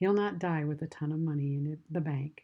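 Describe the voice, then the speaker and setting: A somewhat breathy, warm tone at a moderate pace. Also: woman. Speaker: podcast host. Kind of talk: faith podcast narration. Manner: warm, heartfelt.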